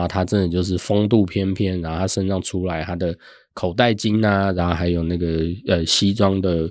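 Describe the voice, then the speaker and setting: A man speaks at a fairly quick pace with fairly even intonation and a very deep, low pitch. The recording is very clean, with a silent background. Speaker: author and finance professional. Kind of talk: interview.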